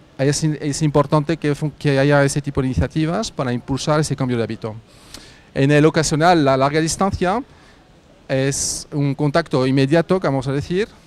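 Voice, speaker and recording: Speaking with a French accent, a man talks at a moderate pace. His pitch is fairly high and varies in an ordinary way. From France. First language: French (speaking Spanish). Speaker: carpooling startup representative. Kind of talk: workshop presentation. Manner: hesitant, many fillers.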